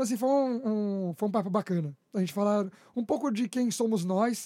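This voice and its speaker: Pitched high for a man, this dark, mellow voice moves at a fairly quick pace with ordinary pitch variation, recorded dry and close with no echo. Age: 20s. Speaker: church musician and podcast host. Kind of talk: casual chat. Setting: studio. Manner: stumbling.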